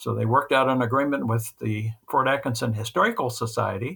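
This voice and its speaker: A man speaks at a fairly quick pace with a Midwestern US accent. The recording is very clean, with a silent background. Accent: US Midwest. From central Kansas. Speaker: retired dairy magazine editor. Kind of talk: interview.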